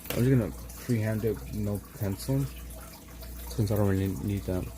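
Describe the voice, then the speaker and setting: A mumbling man with an American accent and very deep, low pitch at a moderate pace. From Los Angeles, US. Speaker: art livestreamer. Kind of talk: casual chat while painting on livestream. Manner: mumbling, slurred words.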